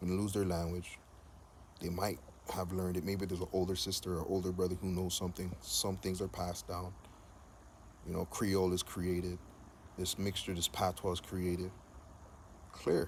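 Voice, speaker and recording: Speaking at a moderate pace with long, frequent pauses, a man uses a very deep, low pitch, a monotone, flat intonation and a somewhat breathy voice. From Jamaica. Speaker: video blogger. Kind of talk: monologue. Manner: casual.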